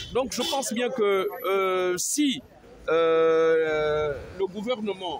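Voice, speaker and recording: Spoken at a very slow pace with lively intonation and very even loudness, the voice sits over noticeable background noise. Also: man, high pitch for a man. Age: 60s. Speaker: street interviewee, citizen. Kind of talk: street interview.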